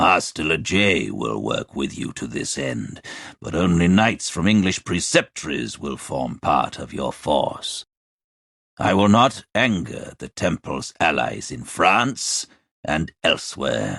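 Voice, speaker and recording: A man's put-on character voice, very deep and low, with very wide pitch swings and a fairly slow pace. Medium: read story. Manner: formal, authoritative.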